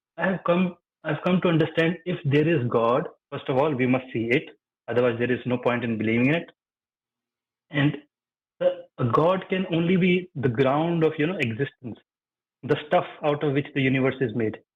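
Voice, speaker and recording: Moderately paced speech from a man with a fairly high pitch, ordinary pitch variation and long, frequent pauses. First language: not English. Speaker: caller. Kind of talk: casual chat. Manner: halting.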